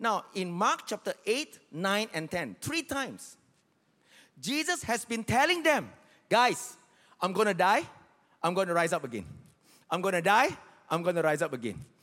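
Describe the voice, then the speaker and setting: A man's raised, projected voice, high-pitched with very wide pitch swings and a bright, sharp tone, at a moderate pace with long, frequent pauses, on a very clean recording with a silent background. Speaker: pastor. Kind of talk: sermon. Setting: church with live congregation. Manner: repeats key lines for emphasis with urgent, rhythmic, exhorting cadence.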